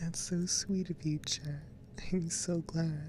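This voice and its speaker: The speaker talks very slowly and softly. Music plays in the background. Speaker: ASMR streamer. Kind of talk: casual chat. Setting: live stream. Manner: soft-spoken.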